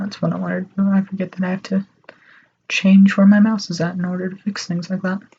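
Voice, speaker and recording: A soft-spoken woman talks at a very fast pace and a medium pitch. Her voice is somewhat breathy, with monotone, flat intonation. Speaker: artist streaming their drawing. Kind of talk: casual live-stream talk while drawing. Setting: alone in a room, live stream. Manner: awkward pauses.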